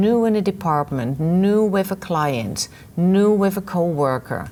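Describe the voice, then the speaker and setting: A woman with a Dutch accent speaks at a fairly slow pace, using a medium pitch and lively intonation. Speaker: webinar presenter, trainer. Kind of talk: lecture.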